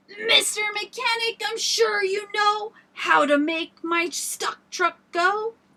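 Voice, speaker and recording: A woman's put-on character voice at an extremely high pitch, fairly slow in pace, with hardly any pauses. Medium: read story. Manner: emphatic, pleading.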